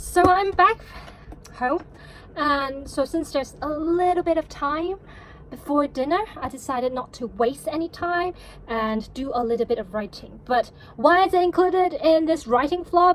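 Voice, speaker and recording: Her intonation lively, a woman talks at a moderate pace. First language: Cantonese. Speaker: novelist vlogger. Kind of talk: vlog monologue. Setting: at home.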